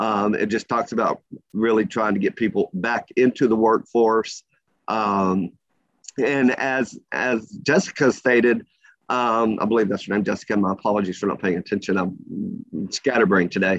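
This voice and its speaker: With an unremarkable speaking voice, a man talks at a moderate pace and medium pitch, ordinary in pitch variation, in a dry, close recording with no echo. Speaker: labor market data presenter. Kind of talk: presentation.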